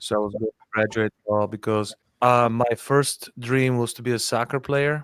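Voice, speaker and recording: Speaking with a Bulgarian accent at a moderate pace, a man holds a medium pitch and a monotone, flat intonation in a dry, close sound with no echo. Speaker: podcast host. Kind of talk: podcast interview.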